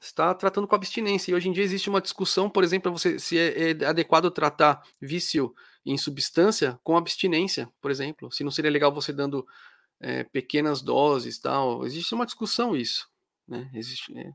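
A man's fairly high-pitched voice at a moderate pace with ordinary pitch variation, dry and close with no echo, on a very clean recording with a silent background. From Brazil. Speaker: psychology youtuber and podcaster. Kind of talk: live stream chat with viewers. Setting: live stream. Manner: casual, hesitant with fillers.

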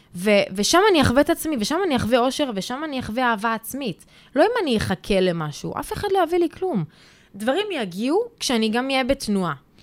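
A woman at a fairly quick pace, high in pitch, with very wide pitch swings. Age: 20s. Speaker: mentor and workshop leader. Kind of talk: interview.

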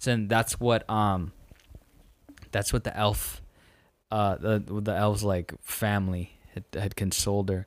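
Here a man uses a plain, everyday voice, fairly low in pitch, with fairly even intonation. He speaks at a fairly slow pace in a very clean recording with a silent background. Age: 20s. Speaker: podcast co-host. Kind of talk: casual chat.

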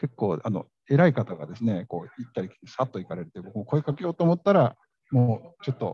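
A man's somewhat breathy, medium-pitched voice with a dark, mellow tone, very wide pitch swings, big loudness swings and a fairly quick pace, in a dry, close sound with no echo. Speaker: radio host. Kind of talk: live event reporting. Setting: conference venue, live. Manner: halting, many fillers.

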